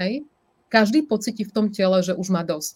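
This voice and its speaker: At a moderate pace, a woman talks in a somewhat breathy voice at medium pitch, with ordinary pitch variation. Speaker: life coach. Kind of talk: interview. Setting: live stream.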